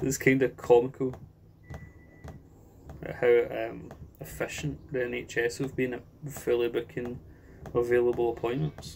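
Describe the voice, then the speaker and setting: A man with a Scottish accent talks at a moderate pace, leaving long, frequent pauses. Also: medium pitch for a man, ordinary pitch variation, big swings in loudness. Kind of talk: casual talk to camera, rant.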